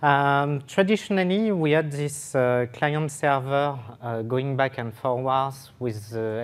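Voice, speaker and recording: A man with a French accent, fairly high-pitched, with lively intonation and a fairly slow pace. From France, French Riviera. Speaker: software developer, conference speaker. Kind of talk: technical conference talk. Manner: hesitant with fillers.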